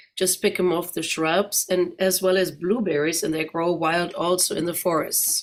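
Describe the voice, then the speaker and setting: In a German accent, a woman speaks at a fairly slow pace with a fairly low pitch. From Germany, Neuss (Rhineland). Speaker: guest speaker. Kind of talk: presentation. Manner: conversational.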